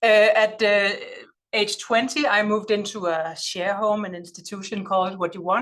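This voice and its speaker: A woman with a Danish accent, with ordinary pitch variation and audible room echo. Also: medium pitch for a woman, moderate pace. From Denmark. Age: 40s. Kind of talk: lecture. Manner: loud; halting.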